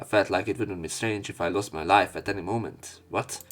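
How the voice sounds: With vocal fry and a fairly low pitch, a man speaks at a moderate pace.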